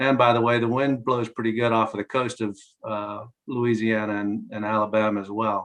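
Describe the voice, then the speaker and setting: Using monotone, flat intonation at a moderate pace, a man speaks with a Southern US accent. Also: medium pitch for a man. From North Carolina. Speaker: clean energy advocacy spokesperson. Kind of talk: press briefing.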